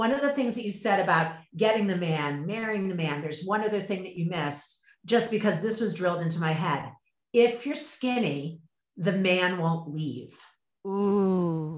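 A woman at medium pitch with lively intonation, in audible room echo. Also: moderate pace. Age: 50s. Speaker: yoga practitioner and mother. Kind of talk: casual chat.

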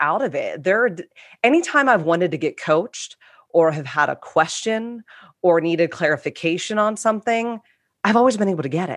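Against a quiet background, a woman with an unremarkable speaking voice talks at a fairly quick pace with lively intonation. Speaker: coach. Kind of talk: group discussion.

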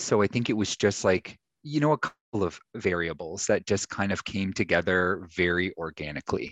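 The pace is moderate. Pitch variation is ordinary. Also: man. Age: 40s. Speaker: weight-loss program client. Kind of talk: interview. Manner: halting.

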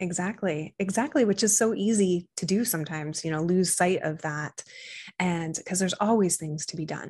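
Her voice somewhat breathy and fairly low, a woman speaks at a moderate pace with ordinary pitch variation. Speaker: digital marketing strategist. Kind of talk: podcast interview, conversational.

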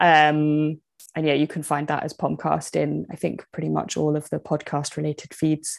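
Against a quiet background, a woman speaks at a moderate pace in a British accent. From Britain. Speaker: magazine founder and knitter.

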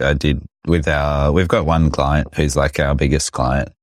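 A man with an Australian accent speaks in a very deep, low pitch with fairly even intonation. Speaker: business podcast host. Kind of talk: casual chat. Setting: video call.

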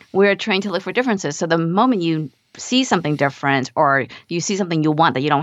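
Words come out at a very fast pace, the pitch moving with ordinary variation. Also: woman. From Vietnam. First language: Vietnamese. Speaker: mindset coach and nurse practitioner. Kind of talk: interview conversation.

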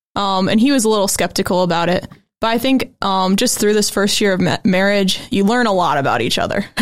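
A woman uses a plain, everyday voice with an American accent and ordinary pitch variation. Her loudness stays very even on a very clean recording with a silent background. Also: medium pitch for a woman, fairly quick pace. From Goshen, Indiana, US Midwest. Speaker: graphic designer and author. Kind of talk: casual interview chat.

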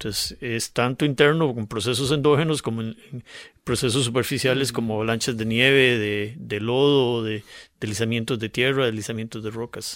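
Medium pitch from a man with a Costa Rican accent, fairly even intonation and a moderate pace, on a very clean recording with a silent background. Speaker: geologist. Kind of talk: radio interview conversation. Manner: explanatory, with frequent repetitions.

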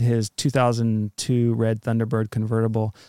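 A man with an unremarkable speaking voice at a medium pitch talks at a moderate pace. The sound is dry and close with no echo, and the recording is very clean over a silent background. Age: middle-aged. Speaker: podcast host, interviewed as guest; acupuncturist. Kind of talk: casual chat.

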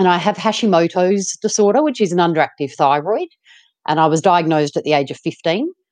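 A woman with an Australian accent talks at a fairly quick pace in a fairly low pitch with ordinary pitch variation, the sound dry and close with no echo. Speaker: ultramarathon runner and author. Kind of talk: interview.

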